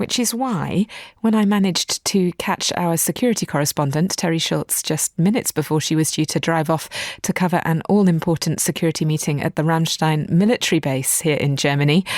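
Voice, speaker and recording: Speaking in a British accent at a fairly quick pace, a woman has a fairly low pitch, ordinary pitch variation and very even loudness, with a dry, close sound and no echo. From Britain. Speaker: radio host. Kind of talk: news podcast interview.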